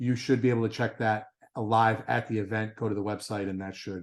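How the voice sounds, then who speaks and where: In a quiet background, a man speaks at a fairly quick pace with a medium pitch. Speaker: race director. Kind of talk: briefing with screen-share walkthrough. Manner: fast.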